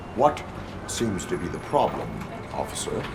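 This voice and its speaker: Over loud background noise, a man speaks in a put-on character voice. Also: moderate pace. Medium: machinima. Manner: flat, formal, deadpan.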